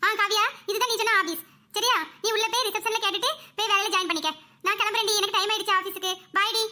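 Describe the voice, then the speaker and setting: A woman does a cartoonish character voice at an extremely high pitch, talking very fast with fairly even intonation and very even loudness. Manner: warm, brisk.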